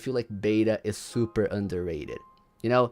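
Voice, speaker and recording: A man speaks at a moderate pace with a non-native accent. Music plays in the background. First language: not English. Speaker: gaming livestreamer. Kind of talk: livestream commentary. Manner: casual, halting with repetitions.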